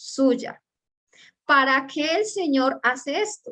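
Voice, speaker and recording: A woman is speaking. Her pace is very slow. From Colombia. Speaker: preacher. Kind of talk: sermon.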